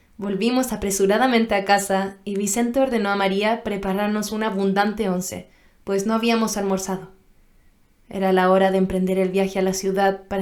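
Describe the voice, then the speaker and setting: This woman's voice sits at a medium pitch. Her delivery stays monotone and flat. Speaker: voice actor, dubbing actress. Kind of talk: audiobook narration, first-person romantic novel.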